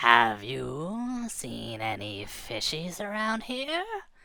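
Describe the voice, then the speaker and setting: Using a put-on character voice at a low-to-middle pitch, the speaker talks at a very slow pace. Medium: read story. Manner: blunt, menacing.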